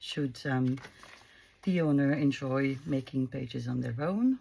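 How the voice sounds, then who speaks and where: Her voice is very deep and low for a woman. She speaks at a moderate pace with ordinary pitch variation. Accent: French. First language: French. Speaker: craft youtuber. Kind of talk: craft tutorial. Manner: halting, many fillers.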